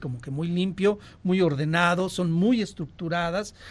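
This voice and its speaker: The speaker is a man with a high pitched voice. He talks at a fairly slow pace. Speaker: sexologist. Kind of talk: casual chat. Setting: studio.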